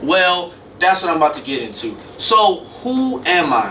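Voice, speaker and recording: Over noticeable background noise and audible room echo, a man with a high pitch speaks at a very slow pace with lively intonation. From Chicago South Side, US Midwest. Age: 20s. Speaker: media student podcaster. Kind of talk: solo podcast monologue. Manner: casual, conversational.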